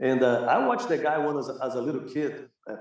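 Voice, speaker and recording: A man speaks with a Brazilian accent at a moderate pace. His pitch sits fairly high. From Rio de Janeiro, Brazil. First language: Portuguese. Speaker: jiu-jitsu master and academy owner. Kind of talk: casual interview.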